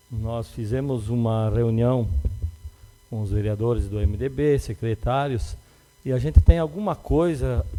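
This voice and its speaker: Here a man with a medium pitch and a dark, mellow tone speaks at a fairly slow pace with long, frequent pauses. His intonation is lively, and his loudness swings widely. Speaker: city councillor presiding the session. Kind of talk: council session speech. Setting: council chamber. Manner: halting.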